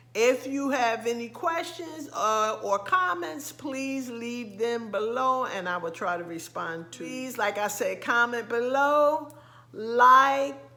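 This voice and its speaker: Speaking very slowly at a high pitch, a woman uses lively intonation. Audible room echo and noticeable background noise are present. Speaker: lifestyle vlogger. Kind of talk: casual vlog talk. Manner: hesitant, many fillers.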